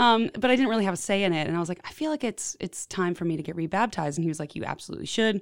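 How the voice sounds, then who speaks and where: A woman's medium-pitched voice with an American accent, very fast and lively, with hardly any pauses. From Houston, Texas. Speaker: singer-songwriter. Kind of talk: testimony.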